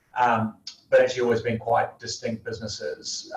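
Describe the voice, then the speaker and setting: Talking at a fairly quick pace, a man speaks with a New Zealand accent. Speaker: company CEO and founder. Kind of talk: interview.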